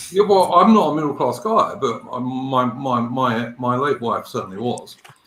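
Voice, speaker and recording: A man's intonation is lively, and noticeable background noise sits under his speech. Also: medium pitch for a man, moderate pace. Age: 50s. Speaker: livestream guest. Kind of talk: casual chat.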